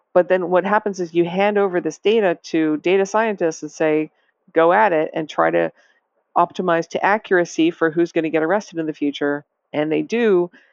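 A woman speaks at a fairly quick pace with an American accent and fairly even intonation. It is a normal speaking voice. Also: fairly low pitch for a woman. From US Northeast, Massachusetts. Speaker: data scientist and author. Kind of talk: interview.

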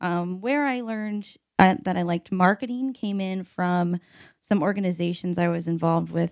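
Medium-pitched woman with a Midwestern American accent, ordinary pitch variation, a moderate pace, and dry, close sound with no echo. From US Midwest (Evansville, Indiana). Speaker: product marketing manager. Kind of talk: casual chat.

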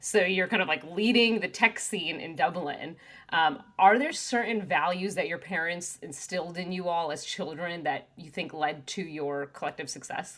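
A woman speaks in a normal speaking voice, fairly low in pitch, at a moderate pace with hardly any pauses. Her pitch variation is ordinary, while her loudness swings a lot. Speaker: podcast host. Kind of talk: casual interview.

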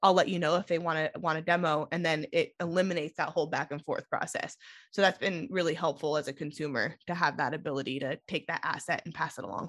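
Fairly low in pitch, a woman talks at a very fast pace with hardly any pauses and ordinary pitch variation against a quiet background. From Sonora, California. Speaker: marketing director guest. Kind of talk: interview conversation.

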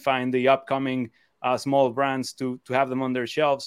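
A man talks at a moderate pace and medium pitch. The sound is dry and close, with no echo. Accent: Spanish. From Mexico (Cancun). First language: Spanish. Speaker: e-commerce seller and co-founder. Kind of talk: interview. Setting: live stream. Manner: halting, many repetitions.

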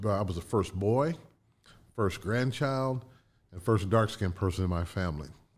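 A man's unremarkable speaking voice sits at a fairly low pitch, with ordinary pitch variation and a moderate pace. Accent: American. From Indiana, Connersville. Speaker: business consultant. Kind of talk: interview storytelling. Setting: studio.

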